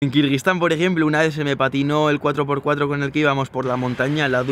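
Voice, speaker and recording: A fairly high-pitched man at a fairly quick pace, with a dry sound with no echo and light background noise. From Spain. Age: 20s. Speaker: travel vlogger. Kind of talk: Q&A vlog. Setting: outdoors. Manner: animated.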